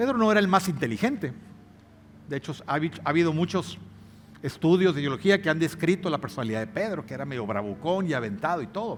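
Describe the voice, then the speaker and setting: Talking at a very fast pace, a man with a fairly high pitch and vocal fry makes very wide pitch swings. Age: 60s. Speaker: pastor. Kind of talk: sermon. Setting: church.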